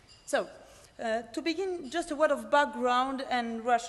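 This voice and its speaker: In a French accent, a woman talks at a moderate pace, her voice high in pitch with ordinary pitch variation. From France. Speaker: pharmacist and PhD researcher. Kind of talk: conference presentation. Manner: hesitant, many fillers.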